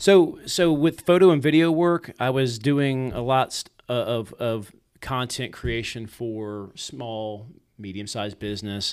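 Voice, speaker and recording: A man with an American accent and a normal speaking voice, medium pitch, lively intonation, big swings in loudness and a fairly slow pace. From Richmond, Virginia, then Georgia from age twelve. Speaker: videographer and drone show operator, former police officer. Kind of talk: casual interview chat. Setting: studio.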